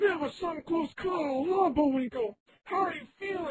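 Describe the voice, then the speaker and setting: This is a cartoonish character voice. Its pitch is high. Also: moderate pace. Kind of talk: cartoon hero. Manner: earnest, upbeat.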